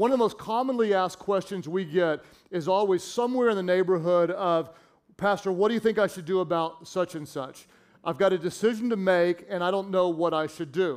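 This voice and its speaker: A man's high-pitched voice at a fairly quick pace with ordinary pitch variation. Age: 50s. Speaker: pastor and author. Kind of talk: sermon. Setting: church stage with audience.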